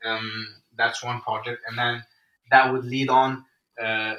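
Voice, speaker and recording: With a bright, sharp tone, a man of medium pitch speaks at a moderate pace in a monotone, flat intonation. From Egypt. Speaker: adventurer and record-breaking athlete. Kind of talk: interview conversation. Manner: halting, many fillers and repetitions.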